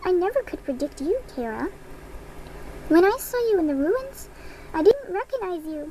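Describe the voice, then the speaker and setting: A put-on character voice at an extremely high pitch proceeds at a moderate pace with long, frequent pauses, over clear background noise. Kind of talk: video game character dialogue. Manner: menacing, mocking.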